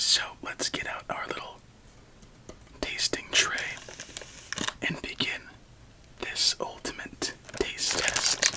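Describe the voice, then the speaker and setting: A man whispers at a very slow pace, with long, frequent pauses. Noticeable background noise runs under his voice. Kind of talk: ASMR candy taste test, soft-spoken talk to camera. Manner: soft-spoken, whispered.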